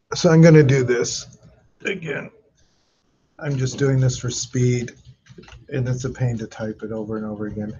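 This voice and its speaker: Somewhat breathy, a man speaks with ordinary pitch variation and long, frequent pauses. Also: medium pitch for a man, moderate pace. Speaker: database instructor. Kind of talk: lecture.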